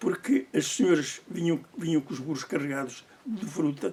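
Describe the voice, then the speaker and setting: With lively intonation at a moderate pace, a man talks over noticeable background noise. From Portugal, Leiria. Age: 80s+. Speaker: oral history interviewee. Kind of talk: oral history interview. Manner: halting, repeats words.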